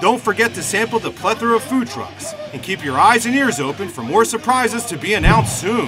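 Over music in the background, a man with a high, raised, projected voice talks at a fairly quick pace with hardly any pauses. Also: lively intonation, big swings in loudness. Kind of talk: event promo read.

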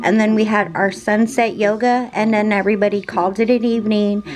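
A woman at a moderate pace amid light background noise. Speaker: travel vlogger. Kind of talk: casual vlog chat. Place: home room. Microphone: phone near.

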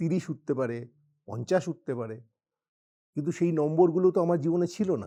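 This man has a normal speaking voice, pitched fairly high, with ordinary pitch variation. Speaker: actor and businessman. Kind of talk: motivational talk.

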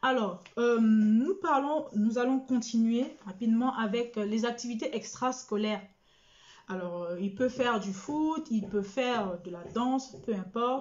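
With ordinary pitch variation, a woman talks at a fairly high pitch. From Cameroon. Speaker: school coach and middle school staff; school coach. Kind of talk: live stream talk to parents. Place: home room. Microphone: webcam.

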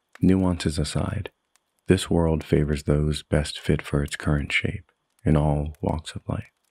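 A man's very deep, low voice at a fairly slow pace, with fairly even intonation. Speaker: poet. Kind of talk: poetry reading, performed spoken word. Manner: measured, solemn.

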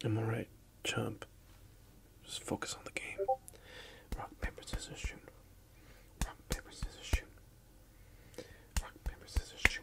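Fairly slow speech with long, frequent pauses, under loud background noise. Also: man. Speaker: streamer or content creator. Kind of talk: playful trash talk while playing a game on camera. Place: home room.

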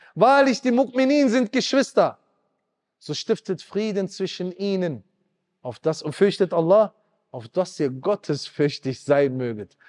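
A fairly slow delivery with very wide pitch swings over a quiet background. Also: man, high pitch for a man. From Germany. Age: 30s. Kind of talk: sermon. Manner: emotional, impassioned. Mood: emotional, animated. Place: hall. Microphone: handheld.

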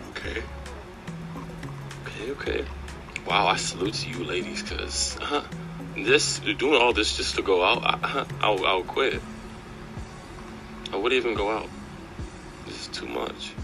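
A man speaks fairly slowly against background music, pausing often and at length. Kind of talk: comedic makeup voice-over commentary.

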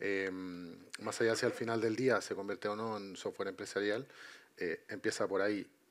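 This man's delivery is fairly quick. Long pauses break it up often. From Chile. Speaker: IT consultant and entrepreneur; panelist. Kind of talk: panel discussion. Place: stage.

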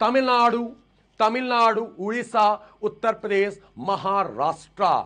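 Against a quiet background, a man with a bright, sharp tone talks at a fairly slow pace with ordinary pitch variation. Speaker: exam-prep teacher. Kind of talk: live online lecture. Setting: live online class. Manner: informal, chatty with students. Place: studio.

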